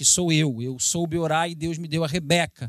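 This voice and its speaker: Speaking at a fairly quick pace in a Carioca accent, a man uses an animated tone with a fairly high pitch and ordinary pitch variation. The sound is dry and close with no echo, and the background is quiet. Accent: carioca Brazilian Portuguese. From Brazil, Rio de Janeiro. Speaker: missionary preacher. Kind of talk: sermon.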